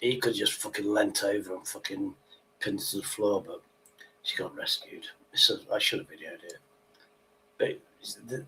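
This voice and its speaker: Using a British accent, a man speaks at a moderate pace with long, frequent pauses and big swings in loudness. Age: 60s. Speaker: livestream host. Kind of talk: casual chat. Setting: livestream. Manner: animated.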